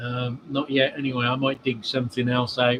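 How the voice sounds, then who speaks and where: In an English accent, a man speaks at a medium pitch with a relaxed tone and monotone, flat intonation. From England. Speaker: model railway hobbyist streamer. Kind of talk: casual live stream chat. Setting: cold outdoor shed at home. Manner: relaxed, halting with fillers.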